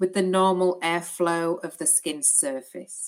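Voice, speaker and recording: Speaking in a British accent, this woman has a fairly low pitch. Her pace is fairly slow. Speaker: clinical educator for an ostomy supplier. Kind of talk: educational webinar presentation. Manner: hesitant with frequent fillers.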